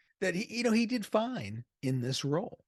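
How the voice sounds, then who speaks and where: A man with an American accent speaks at a moderate pace with very wide pitch swings. The sound is dry and close with no echo, over a quiet background. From US Northeast, Boston area. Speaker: movie reviewer. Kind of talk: casual video review. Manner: conversational.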